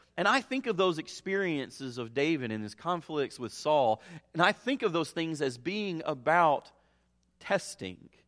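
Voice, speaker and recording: A man with an ordinary speaking voice, lively intonation and a moderate pace, on a very clean recording with a silent background. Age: 40s. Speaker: pastor. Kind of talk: sermon.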